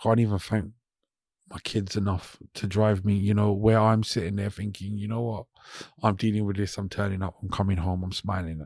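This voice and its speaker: A man with a London accent, fairly low-pitched and monotone with flat intonation, at a moderate pace on a very clean recording with a silent background. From West London, England. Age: 40s. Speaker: DJ and employment specialist. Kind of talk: casual chat. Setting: studio.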